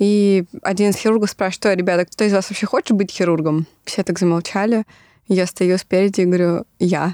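A woman speaks at medium pitch in a dark, mellow tone with very even loudness. The sound is dry and close with no echo, on a very clean recording with a silent background. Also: fairly even intonation, fairly quick pace. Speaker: surgical resident. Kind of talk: interview.

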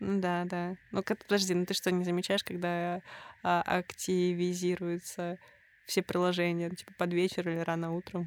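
The recording is very clean, with a silent background. A woman speaks in a flat monotone at a fairly low pitch and a moderate pace. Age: 30s. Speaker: podcast host. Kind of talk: casual chat.

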